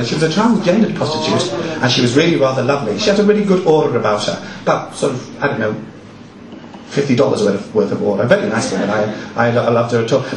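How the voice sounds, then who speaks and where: A man of medium pitch at a very fast pace, his voice swinging very widely in pitch over noticeable background noise. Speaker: performance poet; drag performer. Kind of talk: live stage banter between poems. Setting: live venue.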